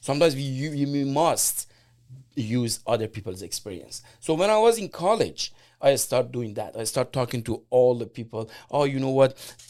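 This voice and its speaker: On a very clean recording with a silent background, a man at medium pitch speaks with an Iranian accent, lively intonation and a moderate pace. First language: Persian. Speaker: immigrant entrepreneur and business owner. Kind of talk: casual interview.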